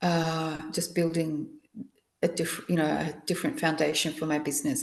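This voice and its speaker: This woman has an unremarkable speaking voice, fairly low in pitch, with fairly even intonation and a moderate pace. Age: 60s. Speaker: akashic reader. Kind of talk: casual interview.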